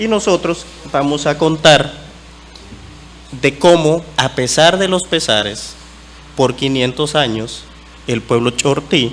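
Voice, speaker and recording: Speaking at a very slow pace with long, frequent pauses, a man keeps his intonation lively over noticeable background noise. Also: fairly high pitch for a man. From eastern Guatemala, Ch'orti' Maya territory. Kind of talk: conference talk. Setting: conference panel.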